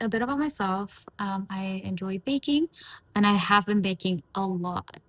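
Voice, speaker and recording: Somewhat breathy and at a medium pitch, a woman's voice comes across with a dry, close sound and no echo. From Malaysia. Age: 20s. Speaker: lifestyle vlogger. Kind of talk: casual chat. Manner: hesitant, many fillers.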